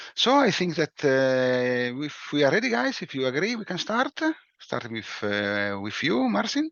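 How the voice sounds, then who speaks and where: A man with an Italian accent and medium pitch speaks at a fairly slow pace, his pitch swinging very widely. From Italy. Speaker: breakout room moderator. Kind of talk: meeting moderation.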